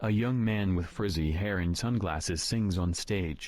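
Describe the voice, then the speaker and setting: At a moderate pace, a man uses a put-on character voice with a very deep, low pitch. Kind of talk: audio description. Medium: video game. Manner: flat, even.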